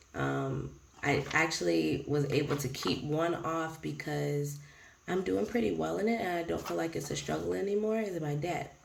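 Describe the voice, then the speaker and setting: A woman at a moderate pace, with audible room echo around her voice. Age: 30s. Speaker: budgeting vlogger and preschool teacher. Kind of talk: casual vlog talk. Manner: rambling, hesitant with many ums.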